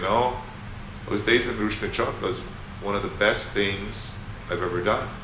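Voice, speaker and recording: Over noticeable background noise and audible room echo, a man with a fairly low pitch speaks at a moderate pace, pausing long and often. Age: 60s. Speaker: musician and former academic. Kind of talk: interview. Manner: halting, many fillers and repeats.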